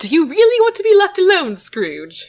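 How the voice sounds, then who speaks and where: Moderately paced speech in a put-on character voice from a woman, her pitch extremely high. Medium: audio drama. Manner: prim, lecturing.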